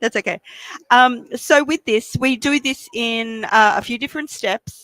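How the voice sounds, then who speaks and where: Speaking at a fairly slow pace, a woman with an Australian accent has a high-pitched voice. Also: dry, close sound with no echo. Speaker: embroidery machine demonstrator. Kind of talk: product demonstration. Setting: trade show stage with audience and PA. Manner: animated. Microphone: microphone held very close.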